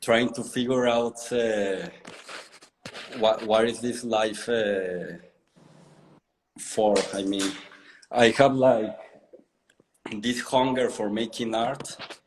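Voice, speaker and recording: Speaking at a very slow pace with long, frequent pauses, a man keeps a medium pitch and a fairly even intonation. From Mexico. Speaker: artist. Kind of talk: interview. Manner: halting, with repeated words.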